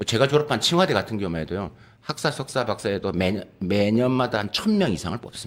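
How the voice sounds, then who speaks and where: Lively in intonation, a man with a fairly low pitch speaks at a very fast pace. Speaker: professor. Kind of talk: panel discussion.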